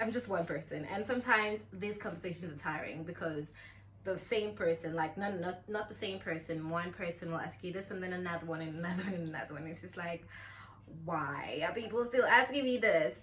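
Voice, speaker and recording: Lively intonation and big swings in loudness mark this fairly quick delivery, heard over noticeable background noise. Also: woman, fairly low pitch for a woman. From South Africa. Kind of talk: casual talk to camera.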